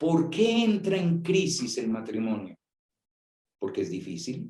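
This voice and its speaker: A man speaks at a fairly slow pace in a high voice with a dark, mellow tone. His pitch swings very widely. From Colombia. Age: 60s. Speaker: priest. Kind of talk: talk to young people.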